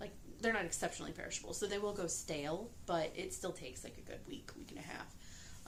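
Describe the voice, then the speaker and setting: A woman speaks softly in a calm tone. Her pitch varies in an ordinary way. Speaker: pastry chef and mother of young children. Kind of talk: casual talk to camera, vlog. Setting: late at night, quiet home. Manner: soft-spoken, calm, quiet.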